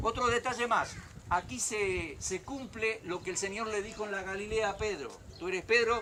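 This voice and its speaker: A man with a high pitch uses a raised, projected voice at a moderate pace. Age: 60s. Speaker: pastor. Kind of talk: sermon. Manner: animated.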